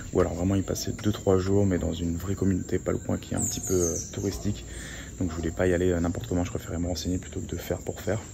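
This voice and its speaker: A man talks at a very fast pace with a very deep, low pitch and ordinary pitch variation. Background noise is noticeable. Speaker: travel vlogger. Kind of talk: travel vlog. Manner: soft-spoken.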